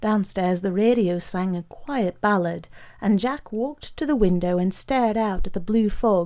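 Reading aloud in a natural voice is what the speaker does here.

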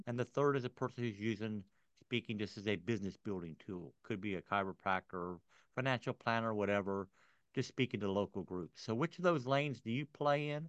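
A normal speaking voice: a man talks fairly quickly at a fairly low pitch with lively intonation. The sound is dry and close with no echo, over a quiet background. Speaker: podcast host. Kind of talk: interview, conversational.

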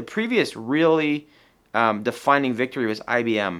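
In a normal speaking voice, a man of medium pitch talks at a fairly quick pace with lively intonation on a very clean recording with a silent background. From Tucson, Arizona. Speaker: business owner and civic leader. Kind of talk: interview.

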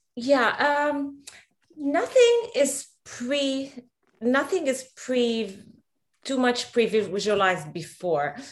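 Lively intonation carries this speaker's very slow pace. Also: woman, high pitch for a woman. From Lebanon. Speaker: photographer. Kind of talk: interview.

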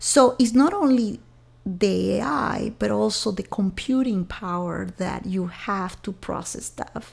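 A fairly slow delivery with a Venezuelan accent. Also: woman. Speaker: software engineering executive. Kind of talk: interview conversation.

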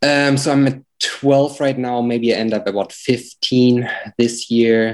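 A man with a German accent speaks at a fairly slow pace. His pitch is medium and his intonation fairly even. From Germany. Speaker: real estate agent. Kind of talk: coaching call. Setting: call.

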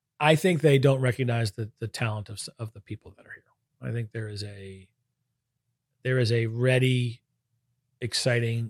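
In a very clean recording with a silent background and a dry, close sound with no echo, a man with an American accent speaks at a moderate pace, somewhat breathy, with fairly even intonation and long, frequent pauses. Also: big swings in loudness. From Brooklyn, New York. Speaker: venture capital investor. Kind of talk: interview.

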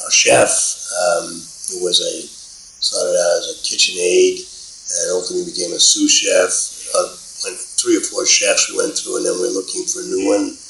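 An extremely high-pitched man with an American accent, his raised, projected voice full of very wide pitch swings and long, frequent pauses, over noticeable background noise. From New York City, Bronx. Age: 70s. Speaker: real estate executive. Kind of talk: interview.

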